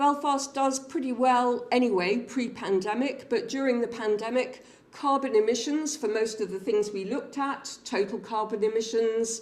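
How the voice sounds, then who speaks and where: An ordinary speaking voice from a woman, fairly high in pitch, with ordinary pitch variation and a moderate pace. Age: 60s. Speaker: public health researcher presenting findings. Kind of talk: seminar presentation.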